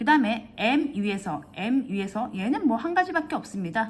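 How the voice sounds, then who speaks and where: Her pitch rises and falls across a very wide range. This woman keeps a fairly quick pace. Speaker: math tutor. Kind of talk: tutorial. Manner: fast; halting.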